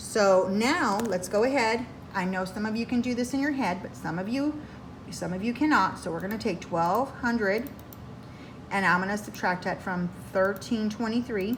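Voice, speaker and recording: At a moderate pace, a woman talks in a fairly high pitch with ordinary pitch variation. Audible room echo surrounds her voice. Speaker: math teacher. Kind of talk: tutorial.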